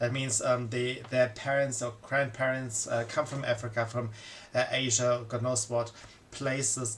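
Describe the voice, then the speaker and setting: A man speaks with a non-native accent at a medium pitch. His pace is fairly slow and his intonation monotone and flat. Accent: foreign accent, migrant to Germany. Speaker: political commentator. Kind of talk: monologue commentary. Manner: halting, many fillers.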